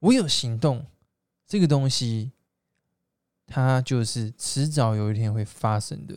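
A medium-pitched man with a Taiwanese accent speaks very slowly, with long, frequent pauses and ordinary pitch variation. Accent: Taiwanese Mandarin. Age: 20s. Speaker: direct sales entrepreneur. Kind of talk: motivational monologue. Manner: hesitant fillers.

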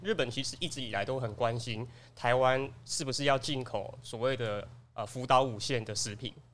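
A man is speaking. His voice has a medium pitch. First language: Taiwanese Hokkien (speaking Chinese). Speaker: office assistant and podcast panelist. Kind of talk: casual chat.

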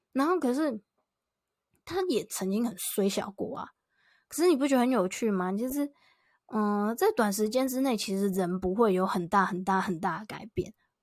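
This very clean recording has a silent background. A woman speaks at a moderate pace with fairly high pitch and lively intonation. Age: 20s. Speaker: solo podcaster and content creator. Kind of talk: casual solo talk.

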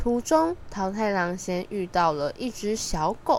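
A woman speaks at a medium pitch and a fairly slow pace, her slightly mellow tone marked by big pitch swings.

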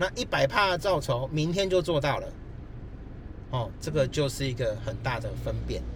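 Keeping a moderate pace, a man speaks with long, frequent pauses. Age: 40s. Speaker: finance professional. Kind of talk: casual chat. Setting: recorded outdoors by the roadside on a laptop. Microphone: laptop mic.

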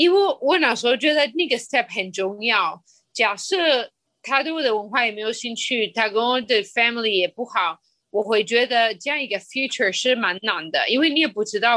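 A woman with a bright, sharp tone and fairly high pitch, lively in intonation, at a moderate pace. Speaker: entrepreneur. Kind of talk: interview conversation. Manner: halting.

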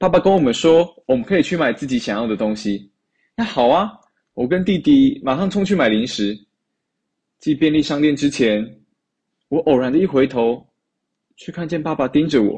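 Speaking at a moderate pace, a man with a fairly high pitch and a dark, mellow tone uses lively intonation and takes long, frequent pauses. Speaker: university student, storyteller. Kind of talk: recorded personal storytelling.

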